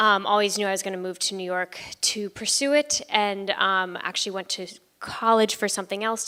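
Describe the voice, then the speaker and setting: In an American accent, a woman talks at a fairly quick pace with fairly even intonation. Her medium-pitched voice has a bright, sharp tone. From Southern California. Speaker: musical theater actor. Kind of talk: panel Q&A talk.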